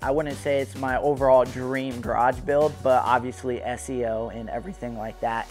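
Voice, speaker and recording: Faint music plays in the background. A man talks at a moderate pace. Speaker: channel host. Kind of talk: casual vlog chat. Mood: excited, playful. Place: garage. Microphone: lapel.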